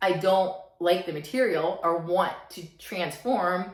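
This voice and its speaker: A woman speaks at a fairly slow pace with lively intonation, and the room echo is audible. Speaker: self-help vlogger. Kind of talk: motivational talk to camera. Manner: slightly halting, stuttering.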